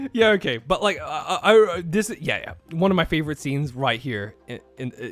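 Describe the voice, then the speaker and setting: Over music in the background, a high-pitched man talks fairly quickly in an animated tone, with very wide pitch swings. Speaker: anime streamer. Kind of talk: live stream commentary. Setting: live stream. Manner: animated, halting.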